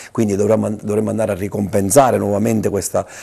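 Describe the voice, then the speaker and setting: A man talks at a very fast pace in a fairly low pitch, with vocal fry. His tone is dark and mellow. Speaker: local politician. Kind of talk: interview answers.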